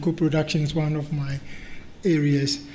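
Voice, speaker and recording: The voice carries a Ghanaian accent and a monotone, flat intonation. Audible room echo is present. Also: man. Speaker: medical director and research lead, conference chair. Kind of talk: conference talk.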